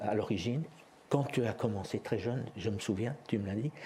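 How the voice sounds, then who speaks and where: There's noticeable background noise while a man speaks at a moderate pace. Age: 60s. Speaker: interviewer, chronic patient. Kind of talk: interview. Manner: halting.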